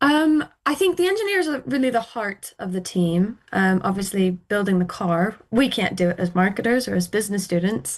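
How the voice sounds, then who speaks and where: In an unremarkable speaking voice, a woman with an American accent talks at a moderate pace and a medium pitch. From United States. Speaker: university student. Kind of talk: radio interview.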